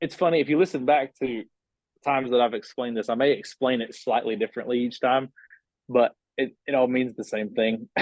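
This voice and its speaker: With an Appalachian accent, a man speaks at a medium pitch with ordinary pitch variation. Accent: Appalachian mountain. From US South. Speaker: band member. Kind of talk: casual chat. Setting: podcast.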